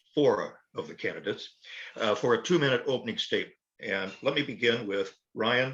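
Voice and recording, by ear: Speaking at a fairly quick pace, a man has a medium pitch and a fairly bright tone.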